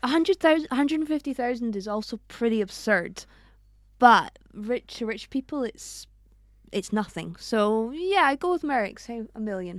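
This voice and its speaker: On a very clean recording with a silent background, a woman with a Scottish accent speaks at a moderate pace, her fairly high voice swinging very widely in pitch. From Scotland. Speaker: podcast co-host. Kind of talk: casual chat. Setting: studio.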